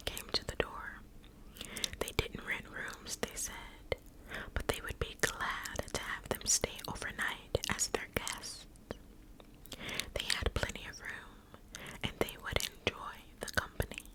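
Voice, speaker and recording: Whispering from a woman at a very slow pace, with long, frequent pauses, big swings in loudness and noticeable background noise. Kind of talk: ASMR whispered story reading. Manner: whispered, soft, slow.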